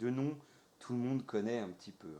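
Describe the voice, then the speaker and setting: A dark, mellow tone from a man. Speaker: let's play gamer. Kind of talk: gameplay commentary. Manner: hesitant, many filler sounds.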